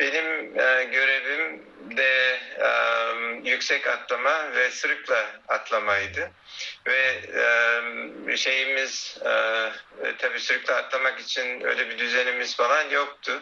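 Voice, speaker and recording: The pace is very slow. There are long, frequent pauses. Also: man. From Konya, Turkey. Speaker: physicist and semiconductor industry professional. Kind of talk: interview answers. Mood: calm, nostalgic. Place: home room. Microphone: phone near.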